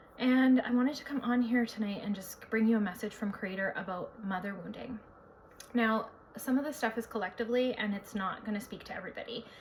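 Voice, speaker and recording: Her pitch fairly high and her intonation fairly even, a woman talks at a fairly quick pace. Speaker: psychic and spiritual healer. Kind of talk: spiritual talk to camera. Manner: fast.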